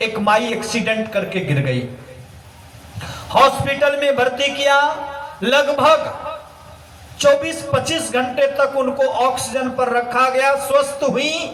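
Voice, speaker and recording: Amid noticeable background noise and audible room echo, a man with an extremely high pitch uses fairly even intonation and long, frequent pauses. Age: 80s+. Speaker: spiritual guru. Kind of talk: sermon.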